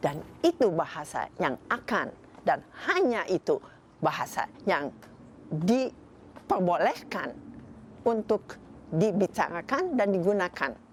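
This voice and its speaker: Over noticeable background noise, a woman speaks at a very slow pace with long, frequent pauses, her medium-pitched voice making very wide pitch swings at a very even loudness. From Indonesia (Bandung). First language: Dutch (speaking Indonesian). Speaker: novelist and publisher. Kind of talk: interview. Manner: halting.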